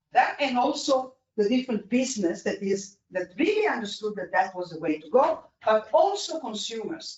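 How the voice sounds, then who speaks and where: This speaker has an Italian accent. The pace is moderate. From Italy. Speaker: energy policy expert. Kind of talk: panel discussion. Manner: halting.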